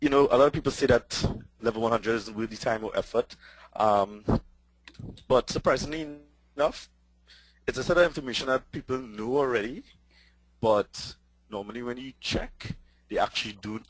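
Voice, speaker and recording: A man with a Trinidadian accent talks at a fairly quick pace, his loudness swinging widely and his speech broken by long, frequent pauses. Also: medium pitch for a man, ordinary pitch variation. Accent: Trinidadian, noticeable. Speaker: tech conference speaker. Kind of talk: webinar presentation.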